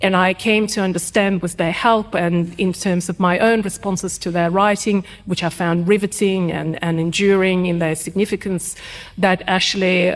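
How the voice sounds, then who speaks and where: A woman's medium-pitched voice in a Russian accent, moderate in pace with hardly any pauses and monotone, flat intonation. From Ukraine, Kharkiv; emigrated as teenager to Australia. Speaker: writer and cultural historian. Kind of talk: podcast interview. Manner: hesitant with fillers.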